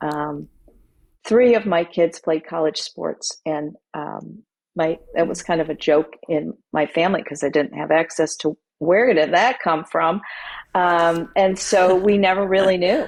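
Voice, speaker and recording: At a fairly slow pace, a woman with an unremarkable speaking voice talks in a fairly low pitch with ordinary pitch variation. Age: 60s. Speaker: author. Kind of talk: interview.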